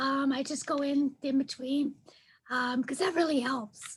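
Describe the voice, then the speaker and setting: A woman speaks in a breathy voice at a high pitch. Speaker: client recovering from vocal cord paralysis. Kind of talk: casual chat. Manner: sing-song, up and down.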